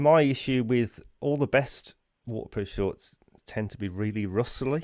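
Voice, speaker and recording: Speaking fairly slowly, a man with a medium pitch uses ordinary pitch variation while his loudness swings widely. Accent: slight Brummie. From English Midlands, Birmingham area. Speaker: podcast host. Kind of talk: casual chat. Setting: remote interview from home.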